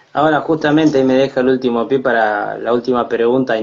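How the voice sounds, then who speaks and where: A man speaks at a moderate pace in an ordinary speaking voice. His intonation is fairly even. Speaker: interviewer, channel host. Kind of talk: interview. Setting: online live stream.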